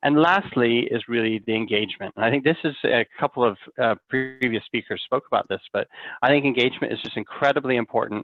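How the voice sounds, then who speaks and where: In an unremarkable speaking voice, a man talks rather quickly with normal rises and falls in pitch. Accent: American. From United States. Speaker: fixed income fund manager. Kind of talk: interview.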